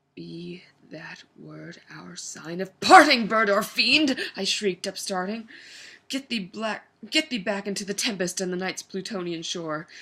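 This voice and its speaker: The speaker uses a normal speaking voice at a fairly slow pace. The intonation is lively, with big swings in loudness. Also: woman, medium pitch for a woman. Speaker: actor. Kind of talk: dramatic poetry reading.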